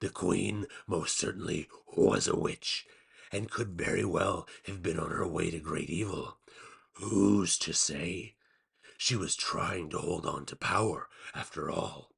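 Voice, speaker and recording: In a raspy, put-on character voice, the speaker goes at a fairly slow pace. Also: man, very deep, low pitch for a man. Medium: read story. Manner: slow, deliberate, cryptic.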